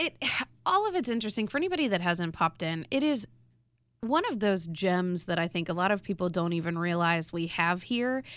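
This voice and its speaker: At a fairly quick pace, a woman uses a normal speaking voice at a medium pitch with lively intonation. The recording is very clean, with a silent background. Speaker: radio co-host.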